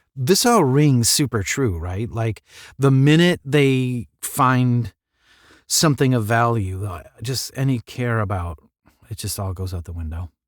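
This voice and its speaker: In a plain, everyday voice, a man speaks at a medium pitch and a fairly slow pace, his intonation lively and his loudness swinging widely. The recording is very clean, with a silent background. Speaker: audiobook narrator. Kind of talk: podcast host intro and commentary. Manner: casual.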